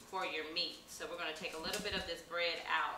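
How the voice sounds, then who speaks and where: A woman's fairly low voice, with audible room echo and light background noise. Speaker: cooking show host. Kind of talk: tutorial. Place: kitchen. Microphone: camera far.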